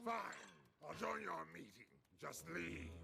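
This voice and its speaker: A gruff, cartoonish character voice moves at a moderate pace. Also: man, very deep, low pitch for a man. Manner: gruff, grumpy.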